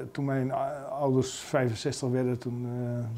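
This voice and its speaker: The voice is a man's. He delivers his words with monotone, flat intonation. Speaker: politician interviewee. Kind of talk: interview answer. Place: office.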